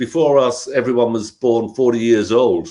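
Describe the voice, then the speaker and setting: Someone with a London accent talks at a fairly slow pace. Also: man. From South London, England. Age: 70s. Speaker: punk rock musician. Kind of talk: interview.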